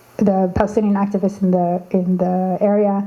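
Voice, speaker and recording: A woman with a Canadian accent speaks at a moderate pace and medium pitch in a monotone, flat intonation, with noticeable background noise. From Canada. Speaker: activist. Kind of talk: panel discussion. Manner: halting, many fillers and restarts.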